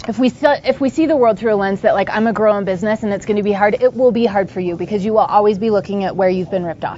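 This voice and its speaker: A woman talks very fast at a medium pitch with hardly any pauses and ordinary pitch variation, against noticeable background noise. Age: 30s. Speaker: entrepreneur. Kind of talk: interview.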